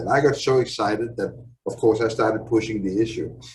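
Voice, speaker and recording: A man at medium pitch, somewhat breathy, with fairly even intonation and a fairly quick pace. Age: 60s. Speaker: father in a support group. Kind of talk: testimony.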